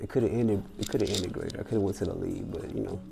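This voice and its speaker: A soft-spoken man with a fairly low pitch and a calm tone, audible room echo and music in the background. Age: young. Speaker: former college football player, trainer. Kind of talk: solo podcast Q&A monologue. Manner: calm, laid back.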